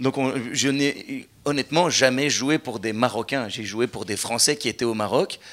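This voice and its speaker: A man with a Belgian accent at medium pitch, a fairly slow pace and hardly any pauses. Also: ordinary pitch variation. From Belgium. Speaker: comedian. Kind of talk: live stage interview. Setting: stage with audience.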